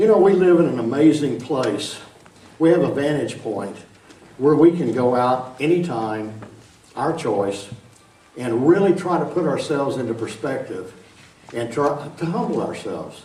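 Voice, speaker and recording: With an Arkansas accent, a man speaks in a fairly high pitch with lively intonation and long, frequent pauses, amid noticeable background noise and audible room echo. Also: moderate pace. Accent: Arkansas Southern. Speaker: science lecturer. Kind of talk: public lecture. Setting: large auditorium with audience. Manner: casual, chatty.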